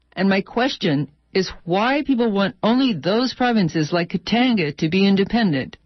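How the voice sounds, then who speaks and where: At a moderate pace, a woman talks with lively intonation at a medium pitch in an ordinary speaking voice. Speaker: radio journalist. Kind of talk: radio report, repeating interviewee's statements.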